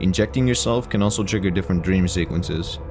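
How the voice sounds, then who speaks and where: The man's pitch is very deep and low. Noticeable background noise can be heard. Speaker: video game reviewer. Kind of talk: game review narration. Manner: somewhat monotone.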